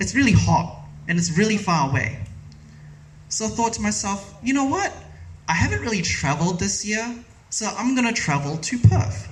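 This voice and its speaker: At a moderate pace and a high pitch, a man with very wide pitch swings takes long, frequent pauses, with audible room echo and noticeable background noise. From New Zealand. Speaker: storyteller. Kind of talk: storytelling talk.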